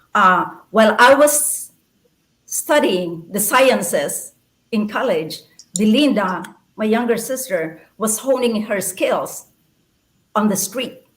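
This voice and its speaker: The voice is somewhat breathy, with lively intonation and audible room echo. It moves at a very slow pace with long, frequent pauses. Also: woman, fairly high pitch for a woman. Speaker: poet and former nurse. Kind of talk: interview.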